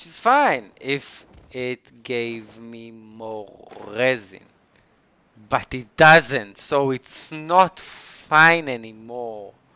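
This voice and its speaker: The dry sound carries no echo as a man talks with a non-native accent. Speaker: gaming streamer. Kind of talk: gameplay commentary. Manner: animated; halting. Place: home room.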